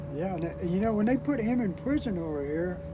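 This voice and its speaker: Noticeable background noise accompanies a man with an American accent. He speaks at a high pitch and a moderate pace with lively intonation. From California. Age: 70s. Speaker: war veteran. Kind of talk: casual chat. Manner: halting.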